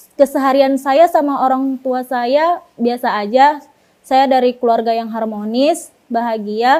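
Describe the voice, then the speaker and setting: Speaking at a fairly slow pace, a woman uses a high pitch, a dark, mellow tone and fairly even intonation. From Pekanbaru, Riau, Indonesia. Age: 20s. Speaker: convert giving her story. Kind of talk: testimony. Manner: casual, hesitant with fillers.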